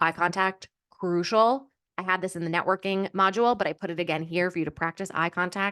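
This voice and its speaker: The background is quiet. A woman talks at a medium pitch. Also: dry, close sound with no echo. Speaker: career coach. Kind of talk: online course lecture. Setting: video call. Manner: fast; upbeat, filler words.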